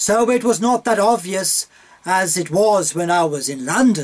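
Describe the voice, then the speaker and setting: Speaking at a fairly slow pace, a man uses a high voice with lively intonation. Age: 60s. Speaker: stage actor. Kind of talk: interview, life story.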